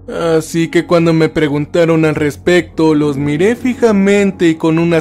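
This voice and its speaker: Against music in the background, a man talks at a fairly slow pace in a high pitch. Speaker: creepypasta narrator. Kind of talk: first-person horror story narration, creepypasta, tense and hushed, building dread. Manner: tense and frightened delivery, voice rising then trembling in panic scenes.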